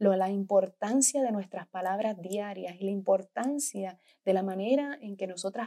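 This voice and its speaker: With a medium pitch and ordinary pitch variation, a woman is speaking. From Puerto Rico. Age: 30s. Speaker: podcast host and business coach. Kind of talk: motivational monologue. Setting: hotel bedroom in a French chateau.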